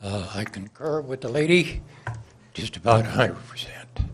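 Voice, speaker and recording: A man talks at a fairly slow pace in a somewhat breathy voice with lively intonation. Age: 80s+. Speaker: public commenter, licensed firearms dealer. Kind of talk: public comment at city council. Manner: halting with frequent uh.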